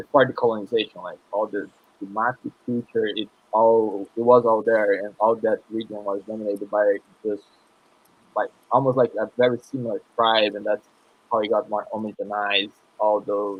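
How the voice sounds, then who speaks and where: Speaking with a Brazilian accent, a man uses a fairly low pitch and monotone, flat intonation at a moderate pace. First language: Portuguese. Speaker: panel guest on Brazilian culture. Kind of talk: casual panel discussion.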